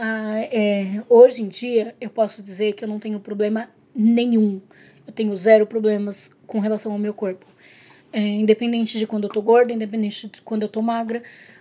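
A woman speaks at a fairly high pitch and a moderate pace, somewhat breathy and with monotone, flat intonation. Her loudness swings widely from moment to moment. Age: 30s. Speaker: podcast guest, host's partner. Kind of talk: casual chat.

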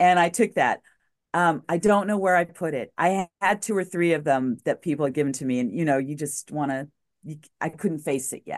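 A woman speaks at a moderate pace in a fairly low pitch. She has an ordinary speaking voice with ordinary pitch variation. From New Mexico, US. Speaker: former TV news journalist, recovery advocate. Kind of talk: interview, personal testimony.

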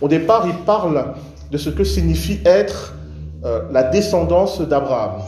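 Music is playing behind him. The man speaks fairly slowly. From Cameroon. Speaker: pastor. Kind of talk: sermon. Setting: church.

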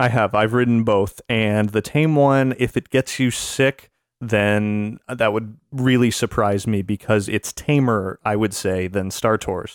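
An unremarkable speaking voice moves at a fairly slow pace with hardly any pauses, very even loudness and fairly even intonation, the sound dry and close with no echo. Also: man, fairly low pitch for a man. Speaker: podcaster.

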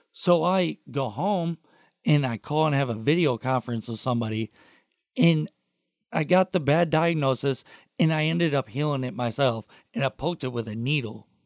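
Talking with lively intonation at a moderate pace, a man with an American accent and an unremarkable speaking voice of fairly high pitch is captured with a dry, close sound and no echo. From Toledo, Ohio. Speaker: podcast intern and co-host. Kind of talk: casual chat.

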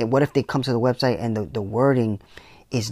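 On a very clean recording with a silent background, a man with an ordinary speaking voice talks at a medium pitch with ordinary pitch variation, the sound dry and close with no echo. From New York City, the Bronx. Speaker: podcast host, tech entrepreneur. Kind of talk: solo monologue on business. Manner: casual, many fillers.

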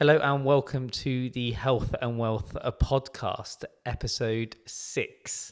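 Music plays in the background as a man speaks with an English accent at a very slow pace. His medium pitch holds fairly even intonation, with hardly any pauses. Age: 30s. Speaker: podiatrist and clinic owner. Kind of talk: casual chat.

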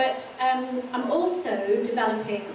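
Noticeable background noise runs under the recording. A woman speaks in a high-pitched voice. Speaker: arts consultant and climate activist. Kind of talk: panel discussion. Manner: informal, laughing.

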